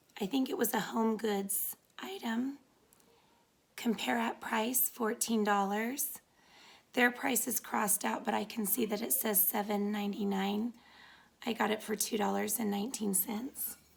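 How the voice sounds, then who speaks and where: Speaking at a fairly high pitch with vocal fry, a woman leaves long, frequent pauses. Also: fairly even intonation, fairly slow pace. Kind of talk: DIY tutorial narration. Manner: casual, friendly.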